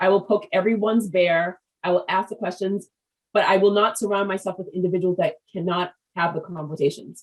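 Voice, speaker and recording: In a normal speaking voice, a woman talks at a fairly quick pace with medium pitch and fairly even intonation. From US, Haitian American family. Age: 50s. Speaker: business podcast host. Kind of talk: interview.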